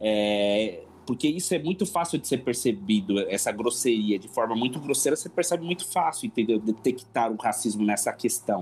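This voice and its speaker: A plain, everyday voice from a man, medium in pitch, at a moderate pace with hardly any pauses. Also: lively intonation. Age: 40s. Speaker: church member and business administrator. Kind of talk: casual chat.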